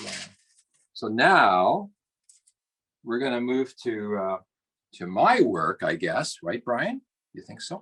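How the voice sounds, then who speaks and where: With a Canadian accent and vocal fry, a man speaks at a fairly slow pace through very wide pitch swings. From Canada, Toronto. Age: 70s. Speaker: printmaker and art professor. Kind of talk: artist talk with live demonstration. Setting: video call from studio. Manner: halting, many fillers.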